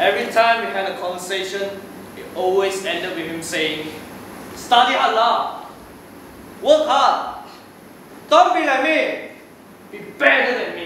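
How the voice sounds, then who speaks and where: A man speaks in a raised, projected voice at a fairly slow pace, with long, frequent pauses, lively intonation, and big swings in loudness. Audible room echo and light background noise surround him. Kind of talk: storytelling monologue. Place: stage. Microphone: camera far.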